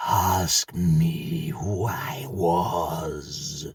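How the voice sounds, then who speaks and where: A man's put-on character voice, raspy and very deep in pitch. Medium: read story. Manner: solemn, terse.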